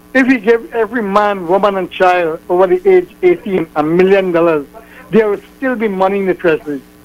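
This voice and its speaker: With music in the background, a man speaks at a moderate pace using ordinary pitch variation. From Trinidad. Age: 70s. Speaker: radio caller. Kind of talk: phone-in call. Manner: halting.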